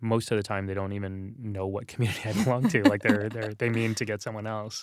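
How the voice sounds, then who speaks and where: Over a silent background in a very clean recording, a man with an American accent talks very fast at a fairly low pitch in a monotone, flat intonation. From Texas, San Antonio. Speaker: religious scholar and author. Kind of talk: interview conversation. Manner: casual, many fillers and repetitions.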